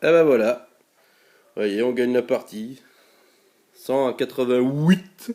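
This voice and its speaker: A man with a Belgian accent speaks at a very slow pace with long, frequent pauses. His medium-pitched voice has a dark, mellow tone and ordinary pitch variation. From Belgium. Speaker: gaming YouTuber. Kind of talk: gameplay commentary. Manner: casual, many hesitations (euh).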